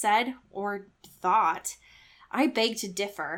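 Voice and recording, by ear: What's heard is reading aloud in a natural voice.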